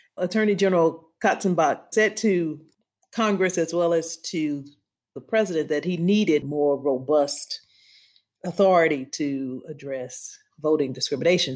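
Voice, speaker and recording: This woman has an ordinary speaking voice and an American accent, set in a fairly low pitch with ordinary pitch variation. She speaks at a moderate pace on a very clean recording with a silent background. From US South, Louisiana. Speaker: law professor and voting rights expert. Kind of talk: interview.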